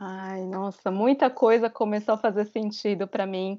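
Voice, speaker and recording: A woman with an ordinary speaking voice talks fairly slowly at a medium pitch, her intonation fairly even. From Brazil. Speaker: travel content creator. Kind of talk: interview.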